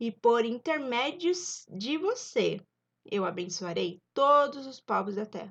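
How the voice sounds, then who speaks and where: A woman's fairly high voice at a very slow pace, with very wide pitch swings and big swings in loudness. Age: 20s. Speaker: YouTuber, Bible storyteller. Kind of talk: casual Bible study retelling. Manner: informal, with hesitations.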